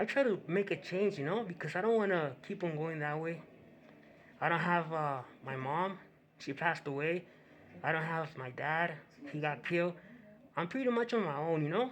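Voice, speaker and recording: In a Spanish accent, a man with a high pitch speaks at a moderate pace, leaving long, frequent pauses. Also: ordinary pitch variation. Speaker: YouTube commentator. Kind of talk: reaction commentary. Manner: halting.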